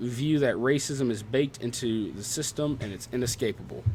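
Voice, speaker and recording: At a moderate pace, a man with a Southern US accent talks at a medium pitch with fairly even intonation. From American South.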